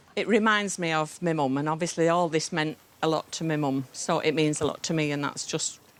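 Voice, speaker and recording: Speaking at a fairly quick pace, a woman with a Yorkshire accent has a very deep, low pitch. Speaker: member of the public bringing an heirloom for repair. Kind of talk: casual chat.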